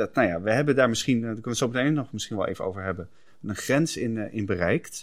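A man with a medium pitch and ordinary pitch variation speaks very fast, the recording very clean and the background silent. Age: 40s. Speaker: podcast co-host. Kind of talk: casual chat.

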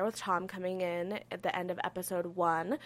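A woman with an American accent speaks at a moderate pace in an unremarkable speaking voice, her pitch medium, on a very clean recording with a silent background. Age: 20s. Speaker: podcast co-host. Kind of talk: casual chat.

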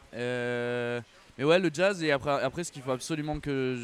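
A man's normal speaking voice, medium in pitch, at a fairly slow pace with ordinary pitch variation. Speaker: musician. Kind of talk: casual chat. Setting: outdoors.

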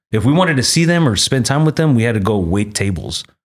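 Talking at a fairly quick pace with an American accent, a man sounds somewhat breathy as his pitch swings very widely. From Texas, Arlington (Dallas suburb). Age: 40s. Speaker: cannabis grower and brand owner. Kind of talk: casual chat.

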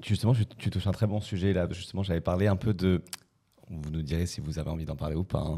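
Over a silent background in a very clean recording, a man speaks with a very deep, low pitch, a dark, mellow tone and ordinary pitch variation. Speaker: podcast host. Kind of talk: casual chat.

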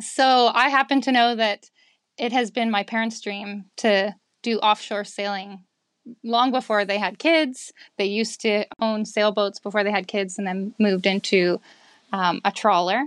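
With an ordinary speaking voice, a woman with a Canadian accent and a fairly high pitch speaks at a fairly slow pace with fairly even intonation, in a dry, close sound with no echo and a very clean recording with a silent background. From Victoria, Canada. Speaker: liveaboard sailor, parent. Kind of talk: casual chat.

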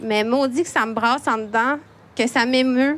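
A woman with a Quebec accent, high-pitched, at a fairly slow pace and with fairly even intonation. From Quebec, Montreal. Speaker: poet and children's author, editor. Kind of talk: prepared talk read aloud. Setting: library event with live audience.

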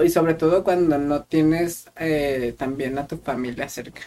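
A man speaks with a central Mexican accent. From Mexico, Querétaro. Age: 20s. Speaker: podcast co-host. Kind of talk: casual chat.

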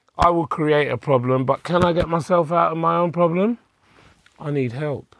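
Here is a man speaking. He has a London accent. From Hackney, London. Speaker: life coach. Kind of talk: interview conversation.

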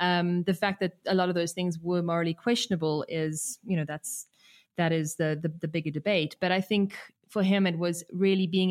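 The recording is very clean, with a silent background. A woman speaks in a monotone, flat delivery at a fairly low pitch. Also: dry, close sound with no echo. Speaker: documentary filmmaker. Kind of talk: interview.

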